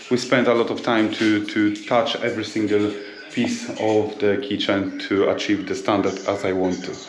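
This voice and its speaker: Audible room echo and noticeable background noise surround the recording. A man with medium pitch speaks at a moderate pace in a monotone, flat intonation. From Poland. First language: Polish. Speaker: builder. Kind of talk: vlog. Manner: halting.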